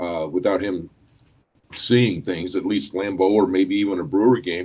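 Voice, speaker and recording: Using an American accent, a man talks at a moderate pace in a fairly low voice with a dark, mellow tone and ordinary pitch variation. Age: 60s. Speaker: co-host, school administrator. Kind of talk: casual chat.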